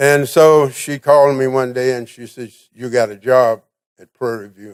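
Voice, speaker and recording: A man at a medium pitch with a Texan accent, moderate pace and fairly even intonation, loudness swinging widely, on a very clean recording with a silent background. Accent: Texan Southern US. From Texas, Navarro County. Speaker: military veteran, award recipient. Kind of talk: award acceptance speech. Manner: hesitant with fillers.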